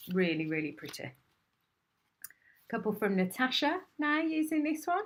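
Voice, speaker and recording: The speaker has an English accent, a fairly slow pace, and very wide pitch swings. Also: woman, very clean recording, silent background. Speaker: craft demonstrator and shop owner. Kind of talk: live stream product demonstration. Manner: animated.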